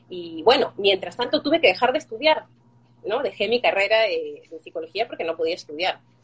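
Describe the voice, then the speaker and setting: A woman at a fairly high pitch with very wide pitch swings and a fairly quick pace, over noticeable background noise. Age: 40s. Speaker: fibromyalgia patient sharing her story. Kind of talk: interview testimony.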